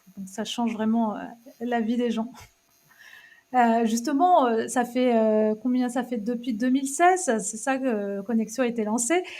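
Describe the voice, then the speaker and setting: A woman speaks at a fairly high pitch with ordinary pitch variation. Her pace is fairly slow, with long, frequent pauses. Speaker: podcast host. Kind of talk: interview questions.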